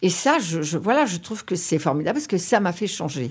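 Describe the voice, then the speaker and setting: Her dark, mellow tone comes at a moderate pace as this woman speaks. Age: 70s. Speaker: radio executive. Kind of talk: interview. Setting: office. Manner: halting.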